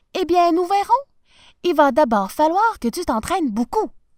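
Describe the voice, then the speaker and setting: A woman performs a put-on character voice at an extremely high pitch. Her tone is warm. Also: moderate pace. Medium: read story. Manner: warm, lively.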